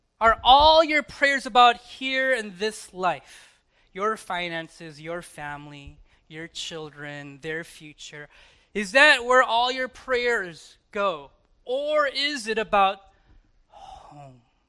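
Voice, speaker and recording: A man's high, raised, projected voice with an American accent, a bright, sharp tone, very wide pitch swings and a very slow pace. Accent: strong American accent when speaking Korean. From Chicago, US. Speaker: pastor. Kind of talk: sermon. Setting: church.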